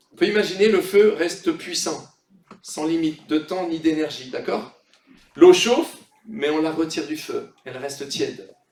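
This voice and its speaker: The delivery is fairly slow, with ordinary pitch variation and big swings in loudness. Audible room echo surrounds the voice. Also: man, high pitch for a man. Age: 60s. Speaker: pastor. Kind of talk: sermon. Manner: animated.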